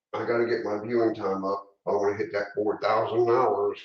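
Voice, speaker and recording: The speech is mumbled at a moderate pace, with big swings in loudness. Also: man. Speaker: model railroad hobbyist youtuber. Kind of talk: casual live stream chat. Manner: rambling, halting with fillers; mumbling.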